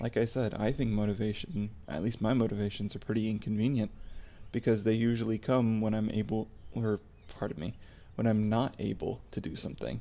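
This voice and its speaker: This man talks at a fairly quick pace with a fairly low pitch, a dark, mellow tone and fairly even intonation. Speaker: ASMR content creator. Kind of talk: personal vlog monologue. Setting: home recording at night. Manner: soft-spoken; halting.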